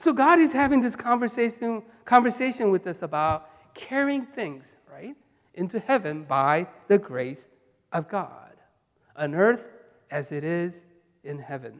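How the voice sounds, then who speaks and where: Someone with a Korean accent speaks at a fairly slow pace with long, frequent pauses. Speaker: pastor. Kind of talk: sermon. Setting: church. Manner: halting.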